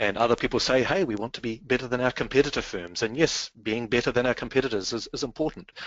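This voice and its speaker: With a New Zealand accent, a man rushes along at a very fast pace with hardly any pauses and ordinary pitch variation. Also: medium pitch for a man. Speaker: business strategy consultant. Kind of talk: webinar presentation.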